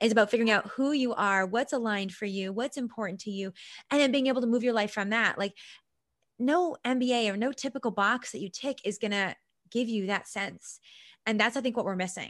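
A woman with a plain, everyday voice speaks at a fairly high pitch with ordinary pitch variation. Her pace is fairly quick against a quiet background. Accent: Canadian. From Canada, Vancouver Island. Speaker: success coach. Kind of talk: interview.

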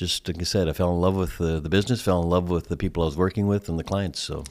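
Recorded very cleanly against a silent background, a man with an American accent speaks at a very deep, low pitch with fairly even intonation. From Minnesota, Thief River Falls. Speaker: advertising executive. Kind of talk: interview. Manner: halting, many fillers.

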